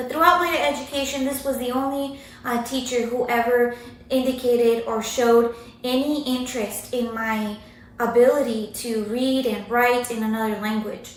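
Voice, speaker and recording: Over noticeable background noise and audible room echo, a woman with a Spanish accent and high pitch speaks at a moderate pace with fairly even intonation. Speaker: university writing instructor. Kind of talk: recorded academic presentation. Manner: hesitant with many fillers.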